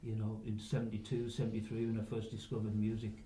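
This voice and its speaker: With an English accent and a medium pitch, a man speaks over noticeable background noise in audible room echo. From northern England, Workington, Cumbria. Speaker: rock musician, drummer. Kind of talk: interview.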